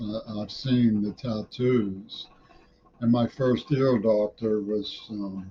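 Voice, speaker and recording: A man with an American accent speaks very slowly at medium pitch, his voice somewhat breathy, his tone dark and mellow, and his intonation fairly even. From US, Pittsburgh. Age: 60s. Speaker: vlogger. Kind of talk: casual monologue. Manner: halting.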